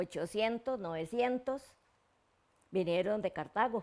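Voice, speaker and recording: A woman in a Costa Rican accent speaks at medium pitch with ordinary pitch variation. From Costa Rica, Turrialba area. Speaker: local elder recounting community history. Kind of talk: oral history interview. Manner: halting, with repetitions and fillers.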